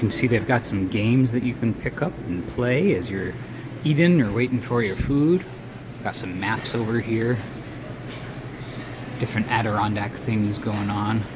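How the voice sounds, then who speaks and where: A man at a moderate pace with ordinary pitch variation and long, frequent pauses, amid noticeable background noise. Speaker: visiting local guide. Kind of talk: casual vlog tour narration. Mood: friendly and upbeat. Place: shop. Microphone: phone near.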